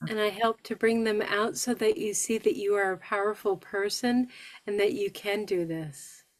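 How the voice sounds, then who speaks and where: A woman with a plain, everyday voice speaks in an American accent at medium pitch and a moderate pace, with ordinary pitch variation. The recording is very clean, with a silent background. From northern New York. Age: 60s. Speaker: stroke survivor and healing coach. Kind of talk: support group talk.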